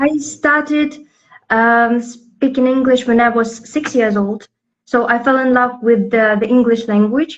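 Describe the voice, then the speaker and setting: A woman with a Russian accent speaks at a fairly slow pace in a high pitch. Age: 20s. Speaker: poet and lyricist. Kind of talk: interview. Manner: halting, many fillers.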